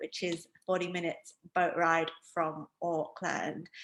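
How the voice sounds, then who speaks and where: The voice has a bright, sharp tone and comes with a northeast English accent. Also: woman. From northeast England. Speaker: wine educator. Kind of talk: online training presentation. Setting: video call. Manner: casual, filler-heavy.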